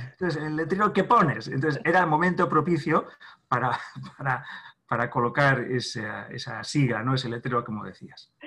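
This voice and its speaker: A man speaks at a fairly high pitch. His intonation is lively. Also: moderate pace. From Spain, Navarre (Pamplona). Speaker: therapist. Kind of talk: interview. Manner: halting.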